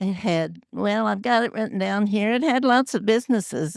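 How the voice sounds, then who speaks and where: A woman with a Midwestern US accent, medium pitch and ordinary pitch variation, on a very clean recording with a silent background. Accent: rural Midwestern US. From Kansas. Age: 80s+. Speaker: longtime local resident. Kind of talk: panel reminiscence.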